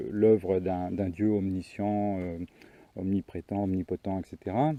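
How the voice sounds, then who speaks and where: Speaking at a fairly slow pace, a man has a very deep, low pitch. His intonation is fairly even. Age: 60s. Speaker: author and commentator on religion. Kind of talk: video monologue. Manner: halting, many fillers and repetitions.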